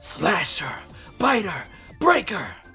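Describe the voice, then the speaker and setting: A put-on character voice, raised and projected, sounds raspy and shrill at a fairly high pitch. Faint music plays in the background. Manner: taunting, calling out.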